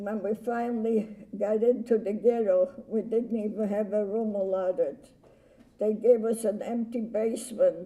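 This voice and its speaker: At a very slow pace, a woman talks in a fairly high pitch with a dark, mellow tone and fairly even intonation. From Poland. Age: 80s+. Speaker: Holocaust survivor. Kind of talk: testimony. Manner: halting.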